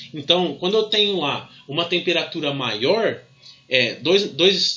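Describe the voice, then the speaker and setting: A man with a Brazilian accent and a high pitch speaks at a moderate pace. Audible room echo and noticeable background noise are present. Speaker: physics teacher. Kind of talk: lecture. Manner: halting, many fillers.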